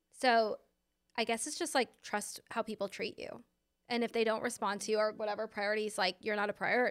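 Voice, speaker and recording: Speech comes at a fairly quick pace in a plain, everyday voice. The very clean recording is dry and close with no echo, over a silent background. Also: woman, fairly high pitch for a woman, fairly even intonation. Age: 40s. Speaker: podcast co-host. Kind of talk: casual chat.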